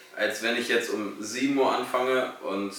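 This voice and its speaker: A man at a medium pitch amid noticeable background noise and audible room echo. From Lower Saxony, Germany (Salzgitter). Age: 20s. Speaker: apprentice at event company, podcast co-host. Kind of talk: casual chat. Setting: studio with camera.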